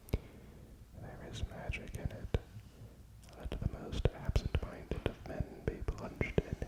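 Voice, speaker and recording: Someone is whispering at a very slow pace. Noticeable background noise can be heard. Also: man. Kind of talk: sleep story. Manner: soft-spoken.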